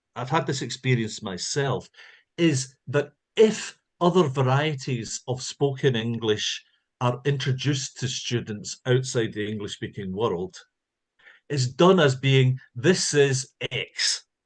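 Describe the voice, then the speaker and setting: A man speaks at a very slow pace in a somewhat breathy voice. His pitch is medium, with ordinary pitch variation. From Scotland. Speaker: linguistics professor. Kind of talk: lecture.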